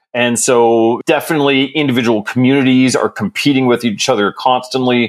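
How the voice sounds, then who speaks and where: With an American accent, a man talks in a plain, everyday voice at medium pitch, fairly quick pace and hardly any pauses. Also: fairly even intonation, very even loudness. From Texas. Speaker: community economic development program director. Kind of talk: interview. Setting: studio.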